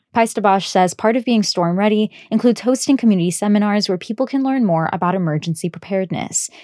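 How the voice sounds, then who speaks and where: Very fast speech with ordinary pitch variation and a dry, close sound with no echo. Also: woman. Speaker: radio reporter. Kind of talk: scripted radio news report, read aloud.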